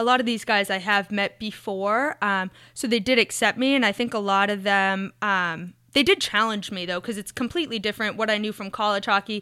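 Her voice is bright and sharp as a woman with an American accent speaks at medium pitch and a fairly quick pace, with ordinary pitch variation, in a very clean recording with a silent background. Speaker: hockey team scouting director. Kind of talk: casual interview chat.

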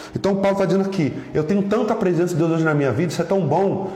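A high-pitched male voice with fairly even intonation, noticeable background noise and audible room echo. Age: 40s. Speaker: pastor. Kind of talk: sermon.

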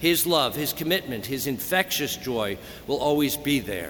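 A man with an American accent, fairly high-pitched and lively in intonation, over noticeable background noise. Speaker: Jesuit priest giving homily. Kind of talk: funeral homily, solemn and sincere, addressed to mourners and to the deceased. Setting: church, cathedral funeral Mass. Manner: formal, measured and emotional, with a tender, warm tone.

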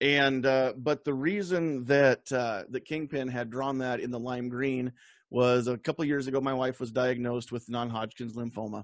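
A man with an American accent talks at a moderate pace and a medium pitch, in a plain, everyday voice. The background is quiet. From Nebraska. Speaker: podcast host. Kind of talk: casual chat. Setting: video call.

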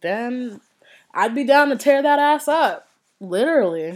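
Very wide pitch swings mark a woman's animated tone in this very clean recording with a silent background. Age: 20s. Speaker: podcast host. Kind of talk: casual monologue.

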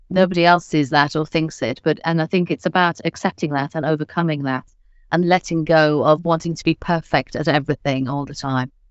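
Fairly quick speech with fairly even intonation. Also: woman, very deep, low pitch for a woman. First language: not English. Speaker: pathology managing director, biomedical scientist. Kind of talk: interview podcast.

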